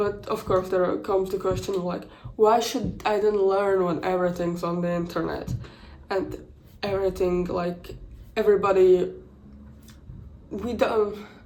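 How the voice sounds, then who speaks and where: In a room with audible echo, a woman speaks at a fairly slow pace with fairly even intonation. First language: not English. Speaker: content creator. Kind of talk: casual vlog commentary. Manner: halting, many restarts and fillers.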